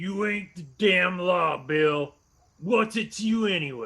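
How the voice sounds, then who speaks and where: Putting on a character voice, a man speaks fairly slowly at a high pitch with lively intonation. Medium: audio drama. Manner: surly, cursing.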